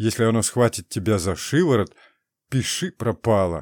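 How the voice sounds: The pitch varies in an ordinary way in a natural reading voice. Behind it, the background is quiet.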